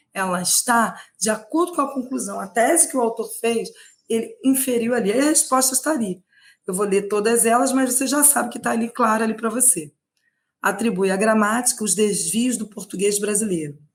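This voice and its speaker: Her voice is an ordinary speaking voice, a woman's at a fairly high pitch with ordinary variation and a moderate pace. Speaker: Portuguese language teacher. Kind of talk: online lecture, exam prep live stream. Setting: live stream.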